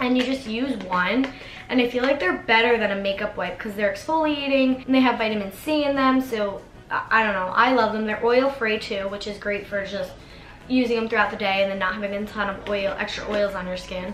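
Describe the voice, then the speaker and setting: Music plays in the background. Over it, a woman speaks at a fairly high pitch with ordinary pitch variation. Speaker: beauty vlogger. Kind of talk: casual talk to camera.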